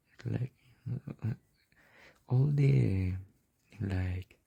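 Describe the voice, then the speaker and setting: A dark, mellow tone, somewhat breathy, with a Spanish accent and a dry, close sound with no echo. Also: man. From Mexico. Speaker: art tutorial creator. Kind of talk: tutorial. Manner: halting, many fillers.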